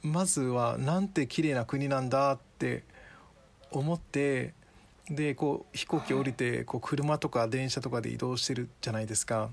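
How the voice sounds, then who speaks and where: Pitched in the medium range, the man's ordinary speaking voice holds a moderate pace and ordinary pitch variation. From Japan. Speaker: guest with Ghanaian roots. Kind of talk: casual chat. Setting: remote call from home.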